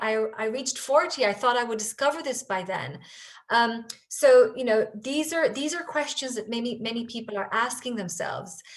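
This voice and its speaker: A woman speaks at a moderate pace with an Israeli accent. Her pitch is high, with ordinary pitch variation. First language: Hebrew. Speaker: author and company culture leader. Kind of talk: interview Q&A. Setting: pre-recorded virtual festival session. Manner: halting, with many repetitions and fillers.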